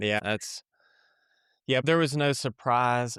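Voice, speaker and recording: The speaker is a man with an Appalachian accent. The sound is dry and close, with no echo. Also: very clean recording, silent background. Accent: Appalachian Kentucky. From Eastern Kentucky, Appalachia. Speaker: author and creative director. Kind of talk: podcast interview.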